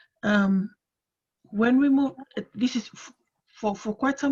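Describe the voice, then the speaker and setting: Speaking in a Fijian accent, a woman has a fairly high, somewhat breathy voice, fairly even intonation and a moderate pace. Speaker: panellist. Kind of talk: panel discussion on video call. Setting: video call. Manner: halting, many fillers.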